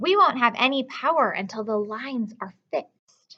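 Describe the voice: A woman puts on a character voice, fairly high in pitch, with a bright, sharp tone and a slightly husky edge. Her intonation is lively. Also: fairly slow pace.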